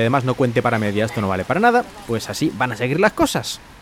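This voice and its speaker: A man's medium-pitched voice at a fairly quick pace, over noticeable background noise. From Spain. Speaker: podcaster and Spanish teacher. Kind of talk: solo podcast monologue.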